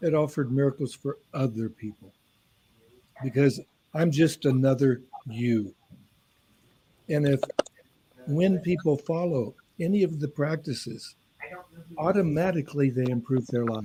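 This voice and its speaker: A man with a fairly high, somewhat breathy voice and a dark, mellow tone talks at a moderate pace, with ordinary pitch variation and long, frequent pauses. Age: 70s. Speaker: author and senior athlete. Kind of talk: panel interview talk.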